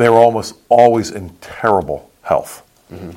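A man speaks at a moderate pace in a normal speaking voice, his pitch medium. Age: 60s. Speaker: pastor. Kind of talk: casual political discussion.

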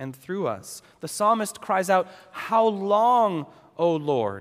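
This man talks at a fairly slow pace with lively intonation. He has an American accent. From New England, US. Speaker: pastor. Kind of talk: sermon.

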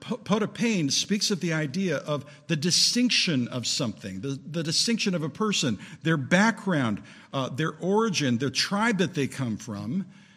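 Vocal fry runs through a man's speech as his pitch swings very widely. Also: moderate pace, very clean recording, silent background. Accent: American. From Southern California. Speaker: preacher. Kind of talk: sermon. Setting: church.

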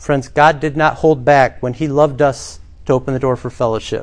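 Moderately paced, a man talks in a plain, everyday voice at a fairly high pitch with ordinary pitch variation. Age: 40s. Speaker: pastor. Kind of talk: sermon.

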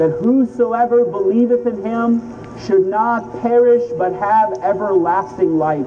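With music in the background, a man talks at a fairly slow pace in a high voice. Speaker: street preacher. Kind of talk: open-air gospel sermon. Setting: outdoors on a city street.

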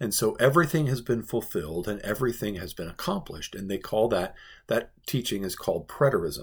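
A man speaks at a fairly quick pace with vocal fry, a medium pitch, and very wide pitch swings, on a very clean recording with a silent background. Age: 40s. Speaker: pastor. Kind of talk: Bible devotional teaching.

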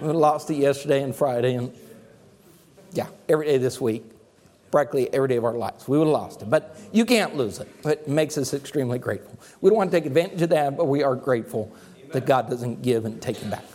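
A man talks at a very fast pace in a dark, mellow tone. His pitch variation is ordinary. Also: fairly high pitch for a man, big swings in loudness. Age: 50s. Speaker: pastor. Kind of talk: sermon.

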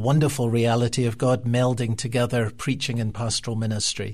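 Somewhat breathy, a man speaks with an Edinburgh accent. His pitch is medium and his pace moderate. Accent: Scottish (Edinburgh). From Scotland, Edinburgh. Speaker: pastor. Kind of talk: roundtable discussion.

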